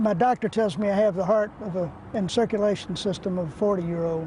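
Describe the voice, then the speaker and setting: Through noticeable background noise, a man with an American accent talks at a high pitch and moderate pace with fairly even intonation. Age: 80s+. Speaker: competitive cyclist. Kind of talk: interview answer.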